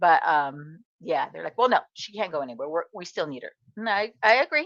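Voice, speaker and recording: An animated woman with an American accent talks at a fairly quick pace with vocal fry and very wide pitch swings, recorded with a dry, close sound and no echo. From Southern California. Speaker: craft content creator. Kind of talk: livestream casual chat. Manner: chatty, animated.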